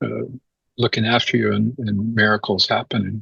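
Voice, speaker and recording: Vocal fry runs through the moderate-paced speech, recorded with a dry, close sound and no echo. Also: man. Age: 70s. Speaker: spiritual teacher. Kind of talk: spiritual talk. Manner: halting.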